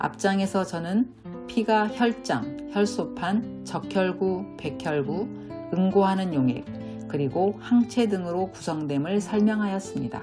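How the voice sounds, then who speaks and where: Over music in the background, a woman with a medium pitch speaks at a very slow pace, her pitch swinging very widely. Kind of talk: religious book reading.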